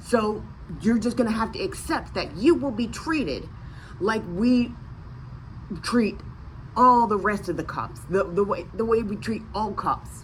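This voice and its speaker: In an American accent, the speaker sounds animated and moves at a fairly slow pace with long, frequent pauses and ordinary pitch variation, with room echo audible. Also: woman, fairly high pitch for a woman. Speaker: vlogger. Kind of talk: casual rant to camera. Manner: animated, halting with many restarts.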